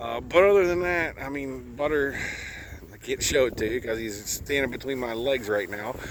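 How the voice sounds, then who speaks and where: A man in a relaxed tone with lively intonation, amid noticeable background noise and audible room echo. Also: medium pitch for a man, moderate pace. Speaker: livestock farmer. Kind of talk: casual vlog talking to camera outdoors. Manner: relaxed, conversational with fillers.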